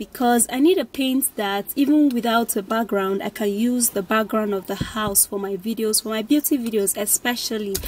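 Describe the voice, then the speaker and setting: Lively intonation marks this woman's moderate-paced speech, recorded with a dry sound and no echo. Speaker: vlogger. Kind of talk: casual vlog chat. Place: car. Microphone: phone near.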